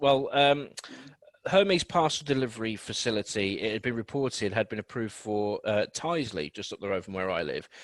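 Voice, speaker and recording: In a Birmingham accent, a man talks at a fairly quick pace. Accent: Birmingham (Brummie). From Birmingham, England. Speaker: radio host. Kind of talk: radio news chat.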